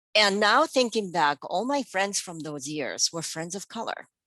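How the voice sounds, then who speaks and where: In a Japanese accent, a medium-pitched woman speaks at a moderate pace, her sound dry and close with no echo against a quiet background. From Japan, Tokyo. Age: 50s. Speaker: podcast guest, parent. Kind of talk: personal storytelling.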